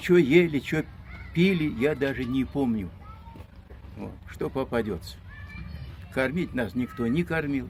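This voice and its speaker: A man speaking at a very slow pace, medium in pitch, with lively intonation and long, frequent pauses. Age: 80s+. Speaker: deportation survivor. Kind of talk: testimony. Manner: halting.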